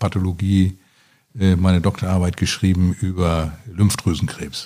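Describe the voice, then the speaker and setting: A man with a dark, mellow tone talks at a fairly slow pace in a very clean recording with a silent background. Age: 60s. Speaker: retired surgeon. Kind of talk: interview. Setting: at his home.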